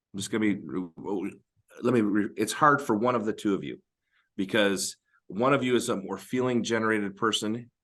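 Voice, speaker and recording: A man with an American accent keeps a moderate pace against a quiet background. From Northern Michigan. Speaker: marriage podcast co-host. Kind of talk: casual advice discussion.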